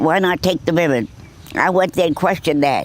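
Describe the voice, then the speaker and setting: Speaking at a moderate pace with a Boston accent, a woman uses a fairly low pitch and ordinary pitch variation. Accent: northern US, Boston. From Boston, Massachusetts. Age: 100s, stated 106. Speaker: war veteran. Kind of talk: interview. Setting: nursing home.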